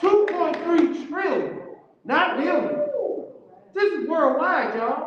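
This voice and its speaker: Amid noticeable background noise and audible room echo, a man with an extremely high pitch speaks at a fairly slow pace with ordinary pitch variation. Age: 60s. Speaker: community event speaker. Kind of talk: community discussion. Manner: animated.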